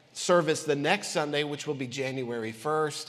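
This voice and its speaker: At a moderate pace, a man talks in a space with audible room echo. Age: 40s. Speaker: pastor. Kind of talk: sermon. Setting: church. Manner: animated.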